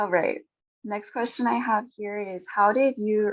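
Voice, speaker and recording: A woman with an American accent and an unremarkable speaking voice, medium in pitch, at a moderate pace. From United States. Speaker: panel moderator. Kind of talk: panel discussion.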